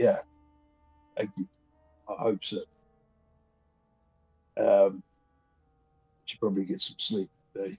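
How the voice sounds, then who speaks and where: Using a raspy, put-on character voice, a man speaks at a moderate pace broken by long, frequent pauses. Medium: actual play. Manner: friendly, easygoing.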